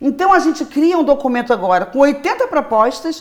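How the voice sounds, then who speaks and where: The woman's high voice makes very wide pitch swings. She speaks at a fairly quick pace. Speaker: popular educator, solidarity economy worker. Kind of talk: interview. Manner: fast; animated.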